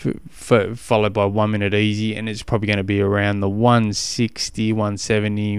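Speaking in a monotone with flat intonation, a man with an Australian accent has a fairly low pitch. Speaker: cycling coach podcast host. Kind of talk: casual solo podcast advice.

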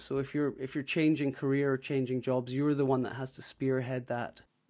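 A man with a Scottish accent speaks at a moderate pace in a dark, mellow, medium-pitched voice. His intonation is monotone and flat, in a very clean recording with a silent background. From Scotland. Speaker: recruiter. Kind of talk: interview.

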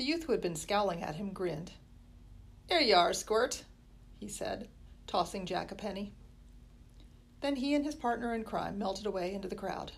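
Somewhat breathy, a woman speaks at a medium pitch and moderate pace, with lively intonation and long, frequent pauses. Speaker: school librarian reading aloud. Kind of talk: horror audiobook reading, spooky first-chapter narration.

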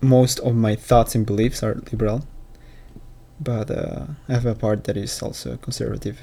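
Speaking with a non-native accent, a man has a medium-pitched, somewhat breathy voice with a dark, mellow tone, a moderate pace and monotone, flat intonation. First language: not English. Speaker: solo podcaster. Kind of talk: casual monologue. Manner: halting, many repetitions.

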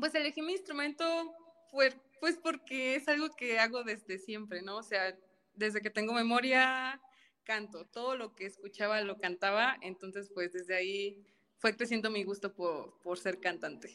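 A woman with an ordinary speaking voice talks at a fairly high pitch. Her intonation is lively and her pace fairly slow. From Mexico, Tampico, Tamaulipas. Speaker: opera singer, soprano. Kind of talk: casual interview chat.

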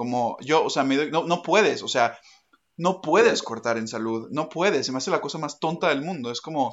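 Moving at a moderate pace, a man with a plain, everyday voice uses lively intonation at a fairly high pitch. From Mexico. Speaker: podcast host, student. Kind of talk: casual interview chat.

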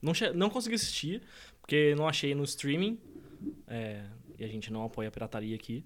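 Fairly high in pitch with very wide swings, a man talks at a fairly quick pace, broken by long, frequent pauses. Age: 20s. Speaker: podcast co-host. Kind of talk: casual chat.

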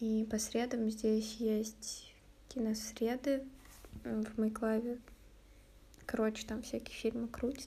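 Very slow and broken by long, frequent pauses, a woman's somewhat breathy voice holds a dark, mellow tone at a fairly high pitch, with monotone, flat intonation. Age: 20s. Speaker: podcaster. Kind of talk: casual solo chat. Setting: at home. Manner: hesitant, with many fillers.

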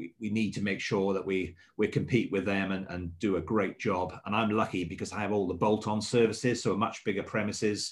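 On a very clean recording with a silent background, a man with a slight Welsh accent talks at a moderate pace in a fairly low voice with fairly even intonation. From Swansea, south Wales. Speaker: hotel general manager. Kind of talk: radio interview.

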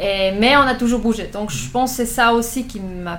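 Over noticeable background noise and audible room echo, a woman speaks in a fairly high voice. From Switzerland, Thun area (Bernese Oberland). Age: 20s. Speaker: amateur triathlete. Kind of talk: interview.

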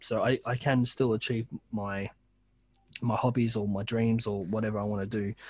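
A man with an Australian accent, medium pitch and a somewhat breathy voice, monotone and flat in intonation, at a moderate pace with long, frequent pauses, on a very clean recording with a silent background. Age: 30s. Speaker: podcast host. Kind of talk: casual chat.

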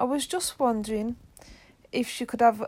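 She speaks with an English accent. The woman's pitch varies in an ordinary way. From England. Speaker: podcast co-host. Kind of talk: casual chat.

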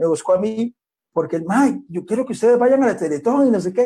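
A man with a high pitch has a dark, mellow tone and lively intonation. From Costa Rica, Limón. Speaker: breakdance pioneer. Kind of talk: interview.

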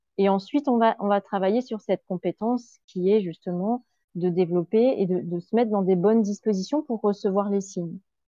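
An unremarkable speaking voice, with ordinary pitch variation and a moderate pace. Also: woman, medium pitch for a woman. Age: 40s. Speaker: grief counselor. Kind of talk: interview.

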